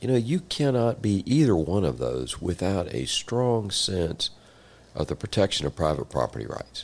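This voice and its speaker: Over a silent background in a very clean recording, a man with an American accent shows vocal fry and very wide pitch swings. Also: fairly low pitch for a man, moderate pace. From Central Florida. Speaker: land broker and former state legislator. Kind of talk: interview conversation.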